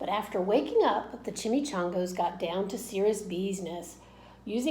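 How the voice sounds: Ordinary variation in pitch marks this natural reading voice.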